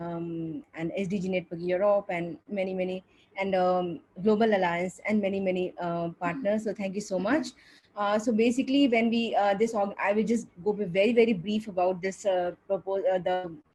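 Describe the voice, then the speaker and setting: With a dark, mellow tone and a somewhat breathy quality, a woman speaks at a medium pitch with ordinary pitch variation. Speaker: coordinator of a regional civil society platform. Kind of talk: opening remarks at online panel event. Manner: fast.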